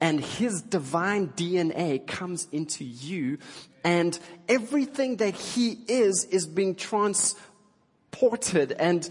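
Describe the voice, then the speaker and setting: In a South African accent, a man speaks with lively intonation. His voice sits high in pitch. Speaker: pastor. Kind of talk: sermon. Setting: church.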